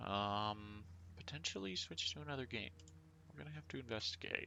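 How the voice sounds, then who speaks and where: A man mumbles at a moderate pace. His fairly low voice has lively intonation. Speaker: gaming streamer. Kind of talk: casual live stream chat. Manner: casual, filler-heavy; mumbling. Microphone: too quiet.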